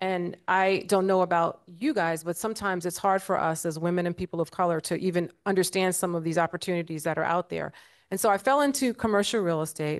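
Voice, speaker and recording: A woman with an American accent talks at a very fast pace, with hardly any pauses. Her pitch is fairly low, with ordinary variation, over a quiet background. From New York City (South Jamaica, Queens); New York City. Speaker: investment firm CEO, panelist; panelist. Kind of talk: panel discussion. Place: hall. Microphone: handheld.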